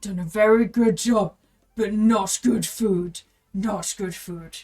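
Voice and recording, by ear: This put-on, gruff character voice sits at a fairly high pitch, with fairly even intonation, a fairly slow pace and big swings in loudness.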